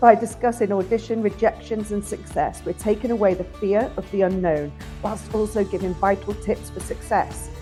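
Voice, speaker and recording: Music plays in the background while a woman talks. Her pitch is medium and her pace moderate. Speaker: podcast host. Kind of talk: podcast intro. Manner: upbeat.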